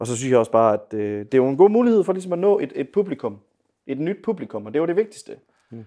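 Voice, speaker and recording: A man with a dark, mellow tone speaks at a very fast pace and fairly high pitch, with very wide pitch swings and big swings in loudness. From Denmark, Viborg. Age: 20s. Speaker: singer-songwriter and bandleader. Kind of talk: casual interview. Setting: conservatory lounge.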